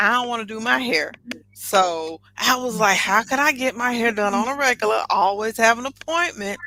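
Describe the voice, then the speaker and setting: With a Southern US accent, a woman speaks at a moderate pace in a fairly high pitch with lively intonation, music playing in the background. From US South. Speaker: entrepreneur and air force veteran. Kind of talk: podcast interview.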